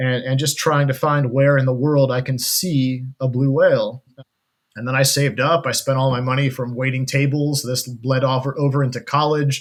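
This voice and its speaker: A man talks at a moderate pace with an American accent. His medium-pitched voice has a monotone, flat intonation. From US Midwest (Kansas and Colorado). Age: 40s. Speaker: ocean adventurer and wildlife cameraman. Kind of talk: interview conversation.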